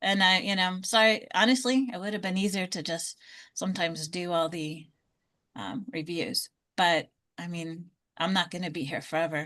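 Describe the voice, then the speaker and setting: In an ordinary speaking voice, a woman talks at a moderate pace and medium pitch with ordinary pitch variation against a quiet background. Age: 60s. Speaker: Medicare insurance advisor. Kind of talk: online group Q&A session.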